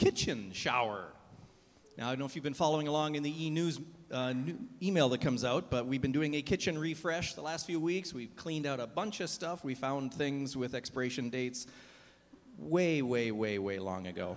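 A fairly quick pace with lively intonation. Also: man. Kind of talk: announcements to a congregation. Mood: jokey, upbeat. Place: church. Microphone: handheld.

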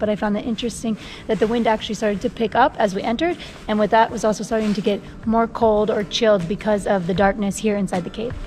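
With faint music in the background, a woman talks at a very fast pace with fairly even intonation. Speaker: travel vlogger. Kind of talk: casual vlog chat. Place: tunnel cave. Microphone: phone near.

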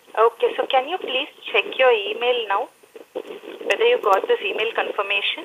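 At a moderate pace with long, frequent pauses, the speaker talks with a strong Indian accent. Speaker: customer service phone rep. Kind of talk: customer service call. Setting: phone line.

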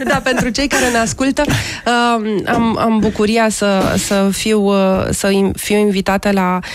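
This woman talks at a very slow pace, her fairly high pitch held in fairly even intonation and her loudness very even. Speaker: folk-jazz singer-songwriter. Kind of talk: interview answer. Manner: hesitant. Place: studio. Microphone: studio mic.

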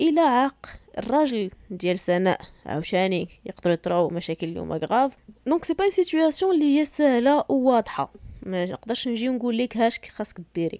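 A woman speaks with a fairly high pitch and a dark, mellow tone at a fairly quick pace. Her pitch swings very widely, and the sound is dry and close with no echo. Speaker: podcast host. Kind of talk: casual commentary.

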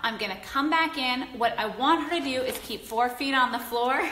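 Speech with fairly even intonation comes at a moderate pace while room echo can be heard. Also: woman. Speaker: dog trainer. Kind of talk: instructional, video tutorial. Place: home room. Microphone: phone near.

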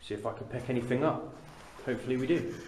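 The speech goes at a fairly quick pace. Light background noise and audible room echo are present. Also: man. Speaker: amateur ghost hunter. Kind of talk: casual vlog chat. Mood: hushed, slightly tense. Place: tunnel cave. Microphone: phone near.

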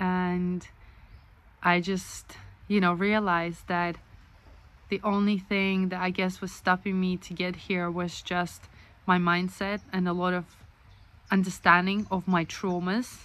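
A woman with a non-native accent, monotone and flat, at a fairly slow pace with long, frequent pauses, in a dry sound with no echo. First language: not English. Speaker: author and vlogger. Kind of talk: casual video blog monologue. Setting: self-recorded video. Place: home room. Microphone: phone near.

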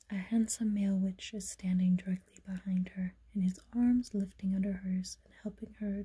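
A woman's somewhat breathy whisper at a moderate pace, hardly any pauses, big swings in loudness and a quiet background. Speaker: tarot reader. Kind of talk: ASMR tarot reading. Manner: whispered. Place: home room. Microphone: phone near.

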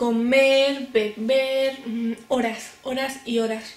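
In a Spanish accent, the speaker keeps a fairly even intonation amid audible room echo. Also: woman. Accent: Peninsular Spanish. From Spain. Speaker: beauty YouTuber. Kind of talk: product review vlog. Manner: cheerful, chatty. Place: home room. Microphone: camera far.

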